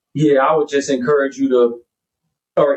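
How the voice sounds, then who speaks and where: A man speaks with an American accent at a moderate pace. His intonation stays monotone and flat. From US South, Pensacola, Florida area. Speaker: hip hop artist. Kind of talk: casual chat. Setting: studio.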